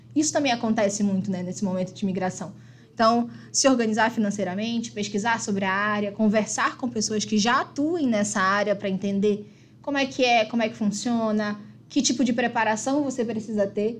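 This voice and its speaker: At a fairly quick pace, a woman speaks with a fairly high pitch. Her voice is somewhat breathy, with ordinary pitch variation. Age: 30s. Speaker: community team member. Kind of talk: casual chat.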